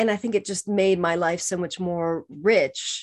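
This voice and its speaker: In an American accent, a woman with a medium pitch speaks with ordinary pitch variation on a very clean recording with a silent background. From California. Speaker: author and publishing strategist. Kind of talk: interview.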